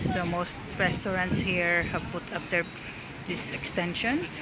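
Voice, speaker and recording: Spoken at a fairly slow pace, the voice sounds dry with no echo, set against loud background noise. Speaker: food vlogger. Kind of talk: casual vlog chat. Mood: relaxed, pleased. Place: street. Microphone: phone near.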